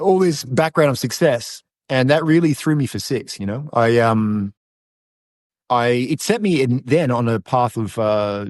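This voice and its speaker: A man speaks at a medium pitch and moderate pace in an Australian accent, his intonation lively. The sound is dry and close with no echo over a quiet background. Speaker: masculinity coach. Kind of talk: podcast interview.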